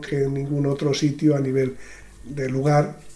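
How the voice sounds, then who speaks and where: The room echo is audible. A man speaks at a fairly high pitch. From Spain, Sanabria (Zamora). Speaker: retired gravedigger. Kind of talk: interview. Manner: halting.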